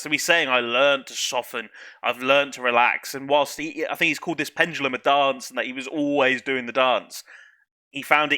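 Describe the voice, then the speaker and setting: A man with a British accent, a bright, sharp tone and fairly high pitch, fairly quick pace and fairly even intonation, in a very clean recording with a silent background. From UK. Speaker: YouTube music reactor. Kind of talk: reaction video commentary. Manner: casual, hesitant with fillers.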